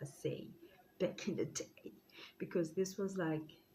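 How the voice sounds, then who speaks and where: Somewhat breathy and dark, mellow in tone, a woman speaks at a fairly slow pace with fairly even intonation. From South Africa. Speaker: YouTuber. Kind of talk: storytime vlog. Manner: casual.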